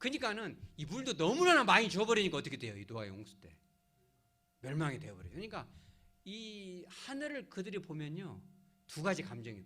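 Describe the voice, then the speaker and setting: High male voice with very wide pitch swings, audible room echo and music in the background. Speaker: pastor. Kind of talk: sermon. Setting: church service. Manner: animated, conversational.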